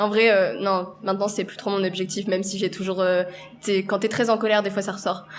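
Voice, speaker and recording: Over noticeable background noise, a woman at a medium pitch speaks at a fairly quick pace with monotone, flat intonation. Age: young. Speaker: actress and singer. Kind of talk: casual chat. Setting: coffee shop.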